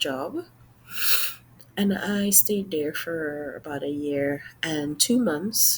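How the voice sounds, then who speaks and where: A woman speaks with a Trinidadian accent. Her delivery is somewhat breathy and very slow. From Trinidad, Sangre Grande. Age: 40s. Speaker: job applicant. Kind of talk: mock job interview presentation. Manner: formal.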